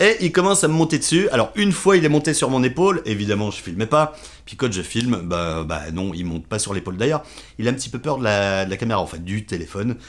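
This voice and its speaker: Very wide pitch swings mark this man's medium-pitched voice as he talks at a very fast pace. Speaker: vlogger. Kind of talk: casual vlog monologue. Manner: halting, many fillers and repetitions.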